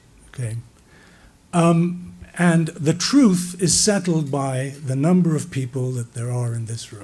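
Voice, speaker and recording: Very slowly, a man speaks in a somewhat breathy, dark, mellow tone at a fairly high pitch with lively intonation. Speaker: philosophy professor. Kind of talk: panel talk with audience. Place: hall. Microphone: podium.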